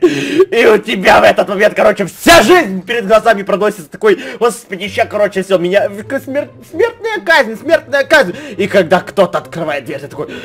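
Over light background noise, a man speaks at a moderate pace with very wide swings in pitch. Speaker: gaming video creator. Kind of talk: gameplay commentary. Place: home room. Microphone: studio mic.

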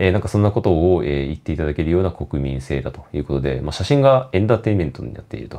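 A man speaks with a very deep, low pitch. His pitch swings very widely. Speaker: photography vlogger. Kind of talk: casual monologue vlog. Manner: talkative, many fillers.

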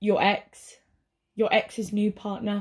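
Very slowly, a woman speaks at a medium pitch. Her voice is somewhat breathy, dark and mellow in tone. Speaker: voice actor. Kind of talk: TV commercial read.

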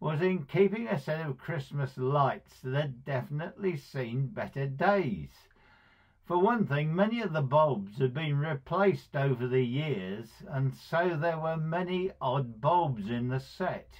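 Lively intonation and a somewhat breathy quality mark a man speaking at a fairly slow pace against a quiet background. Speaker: speaker. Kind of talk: devotional talk with personal story. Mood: warm, fond storytelling. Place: home room. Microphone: phone near.

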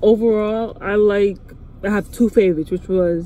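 The voice moves at a moderate pace with fairly even intonation and a dry sound with no echo. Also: woman. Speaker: vlogger. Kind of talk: casual vlog chat. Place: car. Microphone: phone near.

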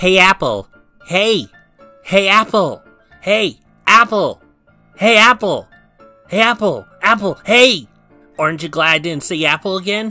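A put-on character voice at a middle pitch moves at a fairly slow pace, with long, frequent pauses. Faint music sits in the background. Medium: solo performance. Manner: annoying, repetitive, giggly teasing.

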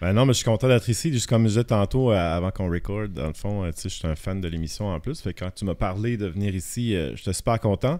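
Over a quiet background, a man with a fairly low pitch and a dark, mellow tone talks at a very fast pace. He uses ordinary pitch variation and hardly any pauses. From Acadian Peninsula, northern New Brunswick (Shippagan); New Brunswick. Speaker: photographer; podcast guest. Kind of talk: casual chat. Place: studio. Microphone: studio mic.

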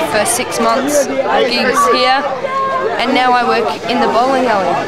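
Loud background noise accompanies talking at a moderate speed. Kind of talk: interview answer. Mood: wistful, annoyed about closing. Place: bar. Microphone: phone near.

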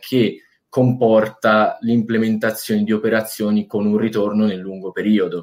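An unremarkable speaking voice from a man, fairly low in pitch with fairly even intonation. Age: 20s. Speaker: university student. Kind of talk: casual chat. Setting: livestream.

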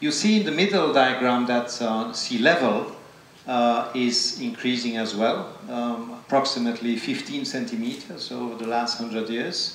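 A man at a fairly slow pace with ordinary pitch variation, audible room echo and light background noise. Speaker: invited lecturer. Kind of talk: lecture. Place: hall.

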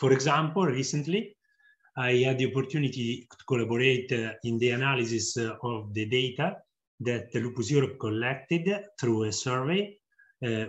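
A man speaks at a moderate pace in a somewhat breathy voice, with ordinary pitch variation over a quiet background. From Italy. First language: Italian. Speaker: psychologist and researcher, patient volunteer. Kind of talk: testimonial interview. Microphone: webcam.

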